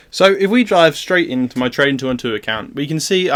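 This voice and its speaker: A man with a British accent talks at a very fast pace over noticeable background noise. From UK. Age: 20s. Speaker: student investing vlogger. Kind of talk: casual video vlog explaining portfolio.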